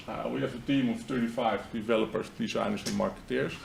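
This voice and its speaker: Speaking very fast with a Dutch accent and ordinary pitch variation, the voice comes through audible room echo and noticeable background noise. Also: man. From Netherlands. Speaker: marketing agency founder. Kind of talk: seminar presentation.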